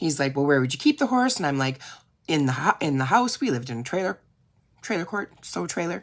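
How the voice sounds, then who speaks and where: Against a silent background in a very clean recording, a woman talks very fast with very wide pitch swings. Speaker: direct seller and video creator. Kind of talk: casual reflective monologue to camera. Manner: chatty, rambling with many fillers.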